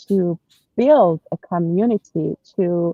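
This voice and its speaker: A woman speaks very slowly with a Persian accent. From Iran, Tehran. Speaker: personal branding consultant. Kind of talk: interview. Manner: hesitant, many fillers.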